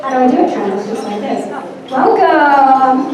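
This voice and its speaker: With an American accent, a woman talks at a high pitch amid noticeable background noise and audible room echo. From New Jersey. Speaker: guest speaker. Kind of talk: keynote speech. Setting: luncheon event with audience and microphone. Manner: animated.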